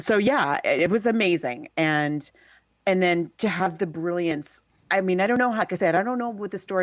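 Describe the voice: A woman with a Southern California accent and lively intonation. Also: medium pitch for a woman, moderate pace, very clean recording, silent background.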